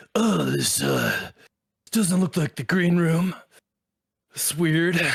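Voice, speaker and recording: A man adopts a put-on character voice, talking very slowly with a high pitch. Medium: actual play. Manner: affected, put-on stage voice.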